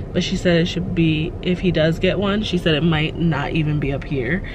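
Over noticeable background noise in a dry sound with no echo, a woman with a very deep, low pitch speaks at a moderate pace with ordinary pitch variation. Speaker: parent vlogger. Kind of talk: casual vlog chat. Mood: calm, relieved update. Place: car. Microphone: phone near.

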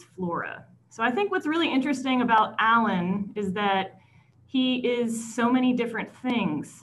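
Light background noise sits behind a woman speaking at a moderate pace with lively intonation. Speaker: host introducing a speaker. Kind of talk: speaker introduction. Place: home room. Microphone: video call.

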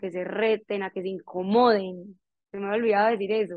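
Woman at medium pitch, monotone and flat, dry with no echo against a quiet background. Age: 20s. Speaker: entrepreneur; guest. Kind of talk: motivational talk. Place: home room. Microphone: earbuds.

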